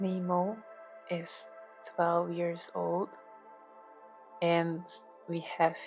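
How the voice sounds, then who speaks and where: Over music in the background, a woman speaks softly. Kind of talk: ASMR cat relaxation talk to camera. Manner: soft-spoken.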